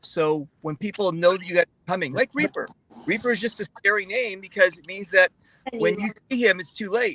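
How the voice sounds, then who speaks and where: A man with a high pitch and a bright, sharp tone uses a raised, projected voice at a moderate pace with ordinary pitch variation, recorded in a dry, close sound with no echo. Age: 60s. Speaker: paintball player. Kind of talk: casual chat.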